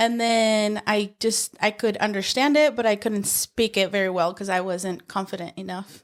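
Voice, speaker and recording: A woman with a Spanish accent speaks at a moderate pace with hardly any pauses, in a medium pitch with fairly even intonation. The recording is very clean with a silent background. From Mexico, Michoacán; moved to Utah at eleven. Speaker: paralegal. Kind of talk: interview. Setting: on camera at the workplace.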